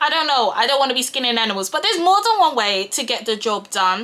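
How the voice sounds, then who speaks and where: Amid noticeable background noise, a woman speaks very fast in a raised, projected voice with very wide pitch swings. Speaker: YouTuber and project manager. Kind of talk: casual vlog talk while doing makeup. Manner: loud.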